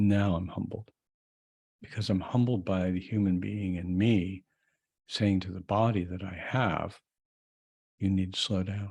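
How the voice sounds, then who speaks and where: Slow and flat, a man talks at a very deep, low pitch, with monotone intonation, a fairly slow pace and long, frequent pauses. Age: 70s. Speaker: vlogger and astrologer. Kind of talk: casual vlog monologue. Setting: recording on a video call app at home. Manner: halting, many fillers.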